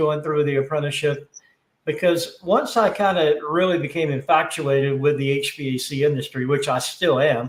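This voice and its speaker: A man with an American accent speaks fairly quickly in an unremarkable speaking voice, his fairly high pitch held to fairly even intonation. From US South. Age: 60s. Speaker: HVAC industry executive. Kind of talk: interview. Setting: live stream.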